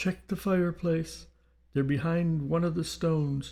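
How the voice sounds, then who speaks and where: A moderately paced, put-on character voice. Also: man, fairly high pitch for a man, very clean recording, silent background. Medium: read story.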